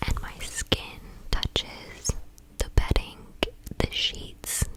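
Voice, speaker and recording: Someone whispers at a very slow pace in an American accent, with noticeable background noise. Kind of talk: ASMR whispered storytime ramble. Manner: whispered.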